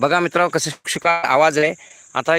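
With a fairly high pitch, the man's voice comes through dry and close, without any echo. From Pune, Maharashtra. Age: 50s. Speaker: YouTuber, retired banker. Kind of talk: live stream chat. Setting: outdoors on a farm. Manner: animated.

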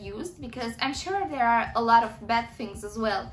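With music playing in the background, a woman speaks at a fairly high pitch. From Romania. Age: 20s. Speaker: university student and vlogger. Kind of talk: vlog-style monologue review. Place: home room. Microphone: phone near.

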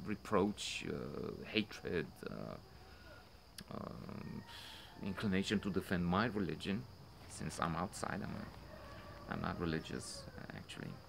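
Over noticeable background noise, a man talks at a fairly slow pace in a very deep, low pitch, leaving long, frequent pauses. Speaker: film commentator. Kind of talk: commentary. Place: garden. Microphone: phone near.

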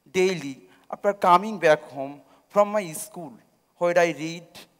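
Behind the man's voice, the background is quiet. His pitch varies in an ordinary way. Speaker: speaker. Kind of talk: public talk, personal narrative. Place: stage. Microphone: headset.

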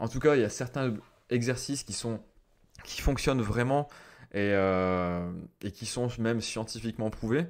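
A man of medium pitch speaks at a fairly slow pace with ordinary pitch variation. Long pauses come often. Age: 30s. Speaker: mental coach and former gendarmerie officer. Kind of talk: solo podcast monologue. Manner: hesitant, many fillers.

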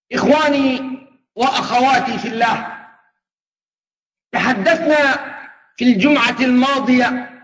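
Fairly slow and in a fairly bright tone, a man talks with an extremely high pitch. His pitch varies in an ordinary way, and room echo is audible.

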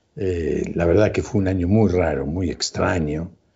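Against a quiet background, a man speaks somewhat breathily at a fairly slow pace. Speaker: TV show host. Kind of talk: show opening monologue. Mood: warm, smiling. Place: home room. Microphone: lapel.

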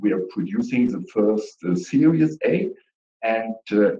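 With audible room echo, a man speaks in a dark, mellow tone.

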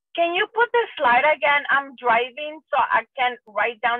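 The sound is dry, with no echo. The pace is moderate against a quiet background. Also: woman. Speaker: parent. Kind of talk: question from audience. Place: car.

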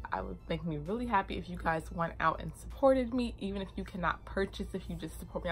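Music is playing in the background. Over it, a woman speaks at a fairly quick pace. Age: 20s. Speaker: beauty YouTuber and cosmetics founder. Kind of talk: casual product demo vlog. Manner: excitable; fast talker.

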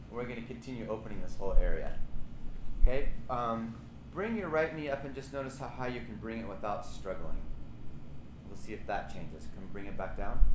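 A man talks at a fairly quick pace, leaving long, frequent pauses. Noticeable background noise runs behind him. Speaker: yoga teacher. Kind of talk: guided somatic yoga class, live instruction. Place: gym. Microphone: camera far.

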